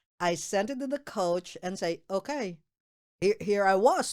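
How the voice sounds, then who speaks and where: In a very clean recording with a silent background, a woman with a Filipino accent speaks with very wide pitch swings. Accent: Filipino accent, kept on purpose. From Philippines. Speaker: state representative. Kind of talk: casual interview chat. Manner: slow, careful enunciation; halting, many repeated words.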